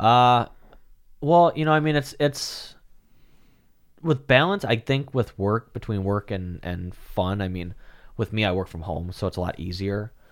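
A man with a fairly low voice speaks in a Wisconsin accent with lively intonation, at a fairly slow pace with long, frequent pauses. The recording is very clean and the background silent. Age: 20s. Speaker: real estate agent. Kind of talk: casual chat.

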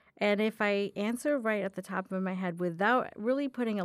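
A woman speaks at a moderate pace in a plain, everyday voice, medium in pitch with ordinary pitch variation. The recording is very clean, with a silent background. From US, moved from India at nine. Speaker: diversity and inclusion specialist, new co-host. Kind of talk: casual chat. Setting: studio.

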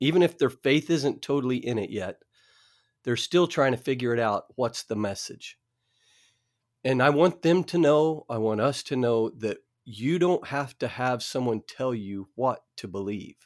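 A man with an American accent, an unremarkable speaking voice and ordinary pitch variation. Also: medium pitch for a man, moderate pace. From Oklahoma. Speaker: Bible study teacher. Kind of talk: Bible study discussion. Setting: remote recording.

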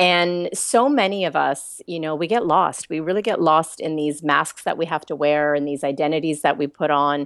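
Speaking at a moderate pace with hardly any pauses, a woman with a slight Canadian accent has a very deep, low pitch and ordinary pitch variation against a quiet background. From Toronto, Canada. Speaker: author and life coach. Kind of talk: casual interview chat.

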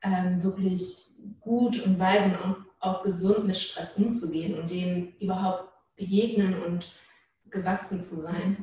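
A woman speaks at a very slow pace with a medium pitch. Her intonation stays monotone and flat. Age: 20s. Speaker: social work student, church member. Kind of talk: casual interview.

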